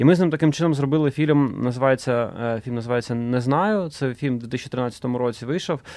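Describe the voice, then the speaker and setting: A man with a plain, everyday voice talks at a fairly quick pace, medium in pitch with ordinary pitch variation. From Donetsk, eastern Ukraine. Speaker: film director. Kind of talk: interview.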